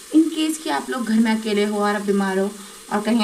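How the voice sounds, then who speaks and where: Noticeable background noise and audible room echo around a woman's voice at a medium pitch. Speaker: vlogger. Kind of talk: casual cooking vlog. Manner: chatty, rambling.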